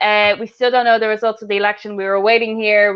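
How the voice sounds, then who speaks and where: A woman's medium-pitched voice in an Irish accent. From Ireland. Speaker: podcast host. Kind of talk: casual chat. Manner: fast.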